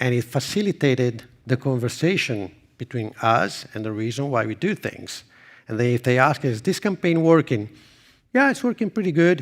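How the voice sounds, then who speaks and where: A man with an Italian accent talks at a fairly quick pace, his medium pitch moving with ordinary variation, on a very clean recording with a silent background. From Italy. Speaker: marketing executive. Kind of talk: conference presentation; audience Q&A. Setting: stage with audience.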